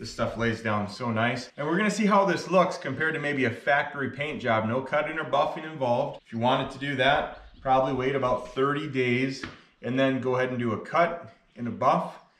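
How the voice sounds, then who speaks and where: Delivered at a fairly quick pace with hardly any pauses, the speech carries audible room echo. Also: man, ordinary pitch variation. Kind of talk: tutorial. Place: garage. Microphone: camera far.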